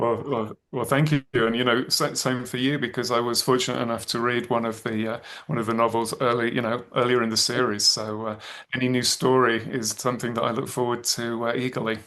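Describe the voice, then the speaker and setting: This man has an English accent and a medium pitch. He talks at a fairly quick pace with monotone, flat intonation. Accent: English accent, noticeable. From England, Birmingham. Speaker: thriller author. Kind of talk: interview. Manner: halting, many fillers and restarts.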